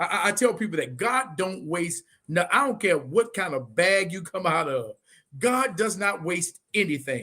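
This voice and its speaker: A man's raised, projected voice, high-pitched, animated and bright, sharp in tone, with lively intonation. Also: moderate pace. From Muskegon, Michigan. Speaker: pastor and live show host. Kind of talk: casual interview chat. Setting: Facebook and YouTube live stream. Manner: animated, preacherly.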